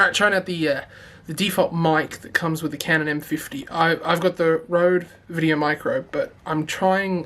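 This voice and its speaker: Someone with an American accent talks at a fairly quick pace. Noticeable background noise can be heard. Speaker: tech youtuber. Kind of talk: product review vlog. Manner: casual, filler-heavy. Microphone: testing built-in camera mic vs external mic.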